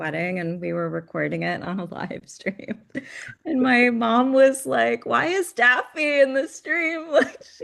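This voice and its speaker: A woman at a fairly slow pace, with big swings in loudness. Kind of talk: casual podcast conversation.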